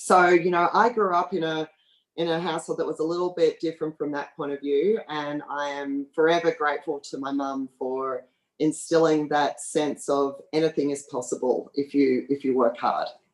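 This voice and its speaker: This woman has an Australian accent and a very deep, low pitch. Her intonation is fairly even and her pace moderate. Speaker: oil company executive. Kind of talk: panel talk with slides. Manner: hesitant with fillers.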